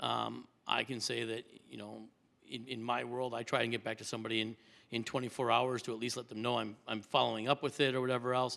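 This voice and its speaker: A man talks at a very fast pace in a medium pitch with vocal fry. His tone is bright and sharp, his intonation monotone and flat. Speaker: trustee candidate. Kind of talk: public forum Q&A. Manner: halting, many fillers.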